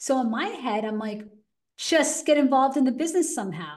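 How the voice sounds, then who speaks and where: Very wide pitch swings in a woman's somewhat breathy delivery. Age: 40s. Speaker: entrepreneur. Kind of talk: casual chat.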